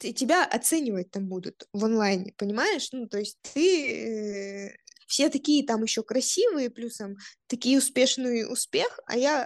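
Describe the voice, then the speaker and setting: A woman at a fairly high pitch and very slow pace, with ordinary pitch variation. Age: 20s. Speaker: podcast co-host, lawyer. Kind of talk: casual chat.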